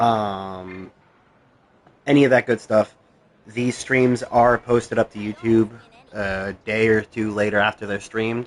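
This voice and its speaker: Flat, monotone intonation broken by long, frequent pauses. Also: man, fairly low pitch for a man, fairly slow pace. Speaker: gaming streamer. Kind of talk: live gameplay stream chat. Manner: casual with many fillers.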